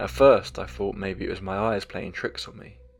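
Over music in the background, a man talks at a moderate pace. His pitch variation is ordinary. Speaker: horror story narrator. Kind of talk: scripted narration of first-person ghost story. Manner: measured, solemn, eerie tone with dramatic pauses.

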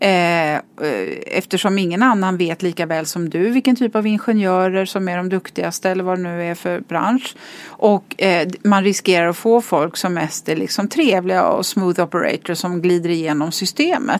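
A woman with a plain, everyday voice at a medium pitch and moderate pace, with ordinary pitch variation. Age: 50s. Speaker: business executive and board member. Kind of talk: podcast interview.

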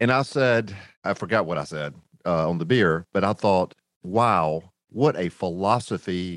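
In a North Carolina accent, a man speaks at a fairly slow pace in a very deep, low voice with lively intonation, the sound dry and close with no echo against a quiet background. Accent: Southern US (North Carolina). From US South, rural North Carolina. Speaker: business founder. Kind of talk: interview storytelling.

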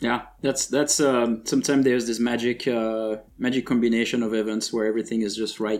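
A man's medium-pitched voice, fairly quick and monotone, with hardly any pauses. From France. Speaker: podcast co-host, game developer. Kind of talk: casual chat.

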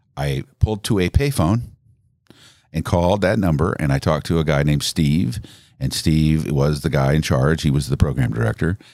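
A man with an American accent speaks in a very deep, low pitch, his tone dark and mellow. There is vocal fry, and his pitch variation is ordinary. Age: 60s. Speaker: radio host. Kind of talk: casual interview chat, storytelling.

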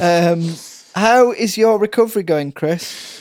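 A man speaking at a very slow pace. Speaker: podcast host and comedian. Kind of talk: casual chat. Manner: joking, bantering.

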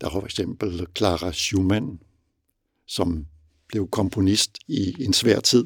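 A man's very deep, low, somewhat breathy voice moves at a very slow pace with ordinary pitch variation. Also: dry, close sound with no echo. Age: 60s. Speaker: father and reader. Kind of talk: interview.

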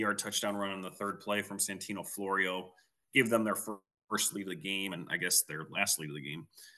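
A man with a Midwestern US accent, a fairly low pitch and a bright, sharp tone, at a fairly quick pace. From Quad Cities area. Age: 30s. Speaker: podcast co-host, football analyst. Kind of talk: casual sports podcast chat.

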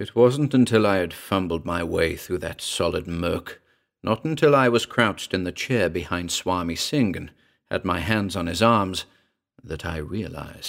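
A man's very deep, low voice with a dramatic tone, lively intonation and moderate pace. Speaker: podcast narrator. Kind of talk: ghost story reading, first-person confessional horror narration. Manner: hushed, brooding and suspenseful, savoring dark imagery; dramatic, voicing characters in quoted dialogue.

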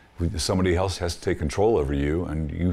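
A man's very deep, low voice, somewhat breathy, at a fairly quick pace with ordinary pitch variation, on a very clean recording against a silent background. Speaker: guest's father. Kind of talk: interview reflection.

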